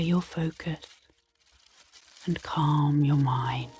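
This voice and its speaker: A woman's very deep, low voice at a very slow pace, with music in the background. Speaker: hypnotherapist and clinical psychologist. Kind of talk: ASMR sleep hypnosis narration. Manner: soft-spoken, calm, slow.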